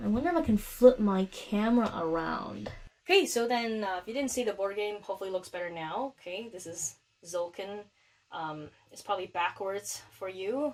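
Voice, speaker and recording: Soft-spoken and at a moderate pace, a woman uses lively intonation with big swings in loudness. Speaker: physics teacher. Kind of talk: tutorial.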